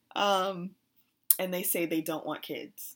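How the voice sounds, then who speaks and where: On a very clean recording with a silent background, a woman with a fairly low pitch and ordinary pitch variation has an unremarkable speaking voice. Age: 30s. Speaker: podcast co-host. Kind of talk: casual chat.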